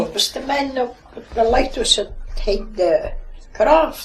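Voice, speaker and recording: A woman with a Shetland accent speaks over noticeable background noise. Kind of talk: oral history interview answer.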